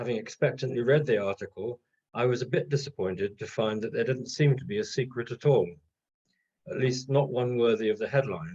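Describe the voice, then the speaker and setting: A man's somewhat breathy, dark, mellow voice of medium pitch, fairly quick, with lively intonation. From Trinidad. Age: 60s. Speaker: retired doctor, local history speaker. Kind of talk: illustrated history talk.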